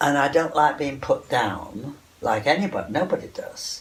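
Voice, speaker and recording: A man at a moderate pace with lively intonation, over noticeable background noise. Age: 80s+. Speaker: textile artist. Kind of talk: interview.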